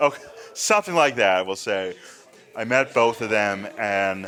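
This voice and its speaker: A fairly low-pitched man at a moderate pace, with noticeable background noise. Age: 30s. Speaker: podcast host and horror fan. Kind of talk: casual interview chat.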